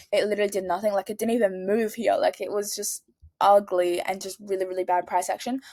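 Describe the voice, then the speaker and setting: A woman speaks at a medium pitch and a fairly quick pace in an animated tone, on a very clean recording with a silent background. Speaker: trading vlogger. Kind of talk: casual screen-share analysis. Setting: at home. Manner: fast.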